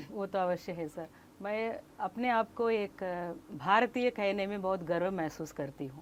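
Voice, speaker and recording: With ordinary pitch variation, a woman's voice holds a medium pitch. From Tamil Nadu, India. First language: Kannada (speaking Hindi). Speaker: Hindi book promoter, scholar. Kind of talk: interview.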